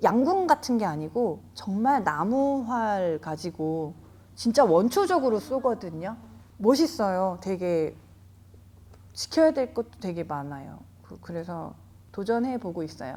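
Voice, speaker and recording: In a very clean recording with a silent background, a woman with a dark, mellow tone and medium pitch speaks very slowly, with long, frequent pauses, big swings in loudness and very wide pitch swings. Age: 40s. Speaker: jiu-jitsu gym owner. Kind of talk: interview answer.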